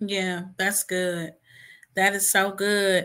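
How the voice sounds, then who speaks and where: A woman uses a raised, projected voice with a bright, sharp tone. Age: 40s. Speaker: live stream host. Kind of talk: live stream chat. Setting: online live stream.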